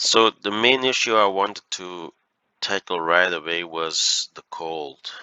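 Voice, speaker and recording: A man with a Flemish accent speaks with ordinary pitch variation. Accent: Flemish Dutch accent in English. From Belgium (Flanders). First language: Dutch. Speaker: gaming YouTuber. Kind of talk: gameplay commentary. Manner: hesitant, many fillers.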